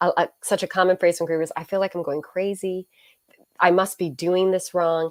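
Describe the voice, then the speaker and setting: In a slight Canadian accent, a woman with a fairly low pitch speaks at a moderate pace with monotone, flat intonation, on a very clean recording with a silent background and a dry, close sound with no echo. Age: 40s. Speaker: author and minister. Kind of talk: interview.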